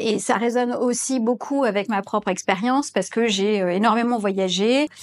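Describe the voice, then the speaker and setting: Noticeable background noise behind a woman's moderately paced speech, its pitch varying in an ordinary way. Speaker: consultant and business school lecturer. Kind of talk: interview testimonial.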